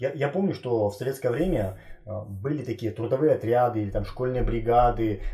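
A man speaks fairly quickly, his pitch shifting in an ordinary way. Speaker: interviewer. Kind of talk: interview questions. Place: home room.

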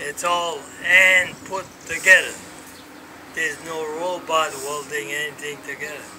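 Over noticeable background noise, a man with a fairly high voice speaks with long, frequent pauses. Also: fairly even intonation, fairly slow pace, big swings in loudness. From Rhode Island, USA. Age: 80s+. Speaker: war veteran. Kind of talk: casual conversation, reminiscing. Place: street. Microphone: phone near.

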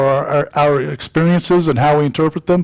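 A man at a moderate pace with fairly even intonation, against a quiet background. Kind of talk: sermon. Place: church. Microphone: podium.

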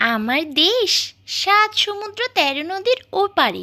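A woman's cartoonish character voice, squeaky and extremely high, at a fairly slow pace. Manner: sweet, tender.

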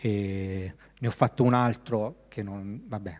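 A man's fairly low-pitched delivery, an unremarkable speaking voice, keeps a fairly even intonation. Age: 30s. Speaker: graphic designer. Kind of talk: lecture. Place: hall. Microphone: handheld.

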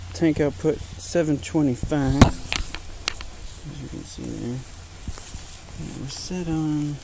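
Someone speaks at a very slow pace over loud background noise. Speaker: paintball player. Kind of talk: casual talk to camera. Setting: outdoors. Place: forest. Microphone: phone near.

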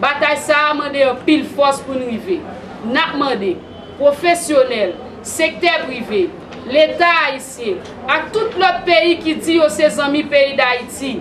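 Crowd noise fills the background as a woman speaks fairly slowly in a high voice with ordinary pitch variation. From Haiti. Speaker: women's rights organization spokesperson. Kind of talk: public appeal statement. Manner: formal. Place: hall. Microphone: phone near.

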